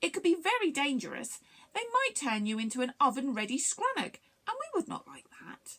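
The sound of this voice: In a put-on character voice, a woman speaks quickly at a high pitch with a fairly bright tone and big pitch swings.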